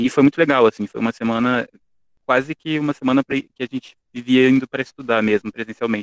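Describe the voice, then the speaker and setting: A man with a medium-pitched voice talks very fast in a flat monotone, the sound dry and close with no echo. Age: 20s. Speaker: university student. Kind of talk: casual interview.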